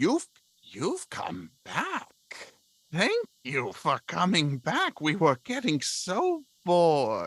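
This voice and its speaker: In a put-on character voice, the speaker talks very slowly at a middle pitch. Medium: actual play. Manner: excitable, breathless.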